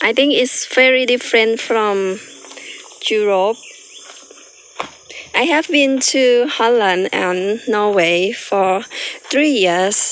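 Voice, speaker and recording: Over noticeable background noise, a woman with a Thai accent speaks very slowly at a fairly high pitch, her loudness very even. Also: ordinary pitch variation. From Thailand. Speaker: farmer. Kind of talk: farm tour vlog. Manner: halting.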